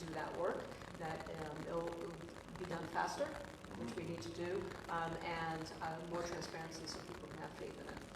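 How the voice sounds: Over clear background noise, a woman talks at a moderate pace.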